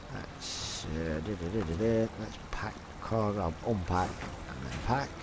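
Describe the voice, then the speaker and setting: A man talks very slowly, with audible room echo and noticeable background noise around him. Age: 40s. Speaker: gaming streamer. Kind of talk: live gameplay stream chat.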